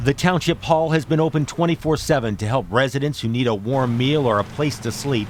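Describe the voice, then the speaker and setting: This man has an ordinary speaking voice at medium pitch with ordinary pitch variation. He talks at a fairly quick pace with hardly any pauses. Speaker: TV news reporter. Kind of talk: TV news report.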